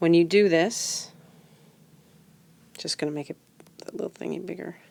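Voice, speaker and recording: A woman with vocal fry and a fairly low pitch speaks at a moderate pace, her intonation fairly even while her loudness swings widely. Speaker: math teacher. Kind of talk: tutorial. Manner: casual, with fillers.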